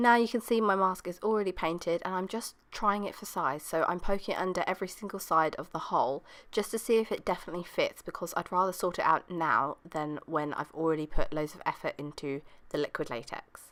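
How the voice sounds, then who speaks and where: On a very clean recording with a silent background, a woman talks at a fairly quick pace and medium pitch, with ordinary pitch variation and hardly any pauses. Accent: British. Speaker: beauty vlogger. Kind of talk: tutorial.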